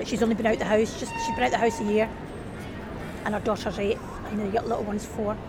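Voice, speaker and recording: Very fast, monotone, flat speech amid noticeable background noise. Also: woman. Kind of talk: casual chat. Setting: outdoors.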